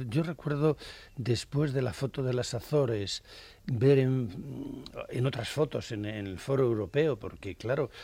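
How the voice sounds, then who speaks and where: A man's medium-pitched, somewhat breathy voice, dark and mellow in tone, with ordinary pitch variation and a fairly slow pace. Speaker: cartoonist. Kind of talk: casual chat.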